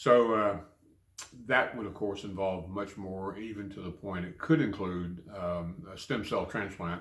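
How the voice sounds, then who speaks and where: Speaking fairly slowly with an American accent, a man uses a fairly low pitch and fairly even intonation, and the room echo is audible. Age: 70s. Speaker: cancer patient and Vietnam veteran. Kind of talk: personal video diary. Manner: halting, many fillers and repetitions.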